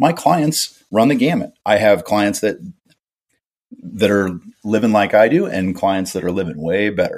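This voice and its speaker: A man's unremarkable speaking voice, fairly low in pitch and fairly slow, with lively intonation, on a very clean recording against a silent background. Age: 40s. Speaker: home builder. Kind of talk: casual interview.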